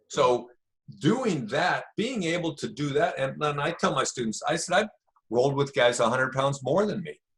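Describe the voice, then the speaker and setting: At a moderate pace, a man speaks in an ordinary speaking voice. His pitch is fairly high, and his intonation is lively. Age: 60s. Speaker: jiu-jitsu instructor. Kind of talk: interview.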